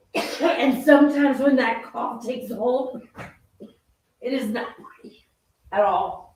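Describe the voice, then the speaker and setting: With audible room echo, the speech moves at a very slow pace, broken by long, frequent pauses, with big swings in loudness and ordinary pitch variation. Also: woman, high pitch for a woman. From southern England. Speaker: cooking show host. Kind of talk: live cooking stream chat.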